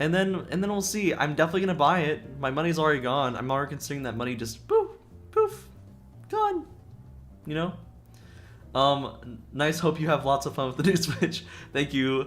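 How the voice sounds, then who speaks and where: Over music in the background, a man talks at a fairly quick pace but with long, frequent pauses. His pitch is fairly high for a man and varies in an ordinary way. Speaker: vtuber streamer. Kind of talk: casual chat. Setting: livestream. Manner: stuttering.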